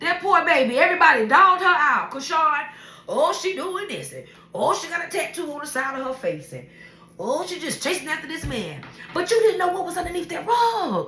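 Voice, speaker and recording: A woman with an extremely high pitch uses a raised, projected voice with a passionate tone, lively intonation and big swings in loudness at a fairly quick pace, with audible room echo and noticeable background noise. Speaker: vlogger sharing life stories. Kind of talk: casual monologue. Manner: loud, passionate.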